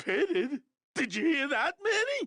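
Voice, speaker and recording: In a put-on character voice, the speaker talks at an extremely high pitch with very wide pitch swings. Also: moderate pace. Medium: video game. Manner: playful.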